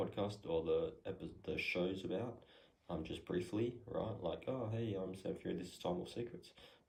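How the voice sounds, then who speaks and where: A man speaks softly. His pace is moderate. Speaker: podcast host, entrepreneur. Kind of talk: casual how-to talk. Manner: soft-spoken, quiet; hesitant, many fillers.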